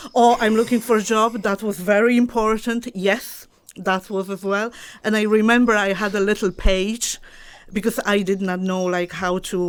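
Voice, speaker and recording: A woman with a Polish accent, medium-pitched and monotone, at a moderate pace, on a very clean recording with a silent background. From Poland, Chełmno. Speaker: dog trainer. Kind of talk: interview. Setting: studio.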